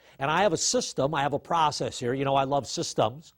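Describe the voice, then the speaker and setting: A man speaks in a fairly high pitch. The sound is dry and close with no echo, on a very clean recording with a silent background. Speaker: risk management trainer. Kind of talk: lecture. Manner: fast.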